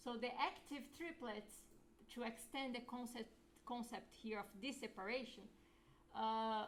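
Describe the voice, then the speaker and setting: A high-pitched woman at a fairly slow pace, with ordinary pitch variation, long, frequent pauses and audible room echo. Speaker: lecturer. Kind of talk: lecture.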